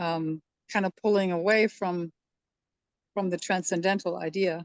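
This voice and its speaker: The voice comes at a moderate pace with monotone, flat intonation and a dry, close sound with no echo. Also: woman, fairly low pitch for a woman. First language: German. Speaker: study group participant. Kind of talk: group discussion. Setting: video call.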